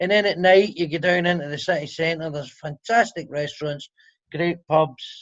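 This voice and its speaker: A man speaks in a high pitch with a Scottish accent. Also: moderate pace. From Scotland. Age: 50s. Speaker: comedian. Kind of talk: casual chat. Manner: animated.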